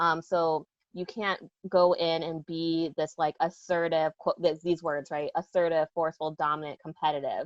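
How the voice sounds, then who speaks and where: Her intonation monotone and flat, a woman speaks at a moderate pace in a fairly low pitch. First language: Lao. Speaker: educator. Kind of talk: panel discussion. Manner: direct.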